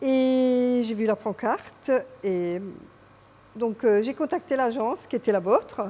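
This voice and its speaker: Very slowly, a woman speaks at a fairly high pitch in a dark, mellow tone. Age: 60s. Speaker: real estate client. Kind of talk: interview testimonial. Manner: hesitant, with fillers.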